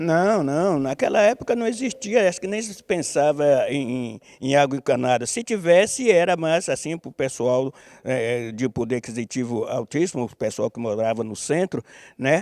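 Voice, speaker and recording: With very wide pitch swings, a man speaks at a fairly high pitch and moderate pace. The sound is dry and close with no echo. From Bahia, Brazil (Camaçari). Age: 70s. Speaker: capoeira master. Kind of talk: interview. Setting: theatre stage. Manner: halting.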